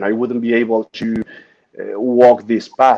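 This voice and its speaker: The voice has a dark, mellow tone and moves at a fairly slow pace. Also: man. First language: Spanish. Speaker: Paralympic swimmer and speaker. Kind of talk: interview. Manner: halting.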